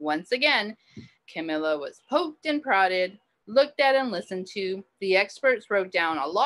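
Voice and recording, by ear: The setting behind the voice is quiet. Text is read aloud in a natural voice.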